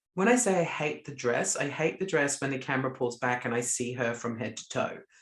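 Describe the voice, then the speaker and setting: The speaker talks at a fairly quick pace in an Australian accent. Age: 30s. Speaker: podcast co-host. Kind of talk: casual chat.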